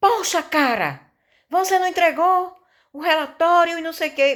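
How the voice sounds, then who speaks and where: A woman uses a put-on character voice at an extremely high pitch. She keeps a moderate pace. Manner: rude, aggressive.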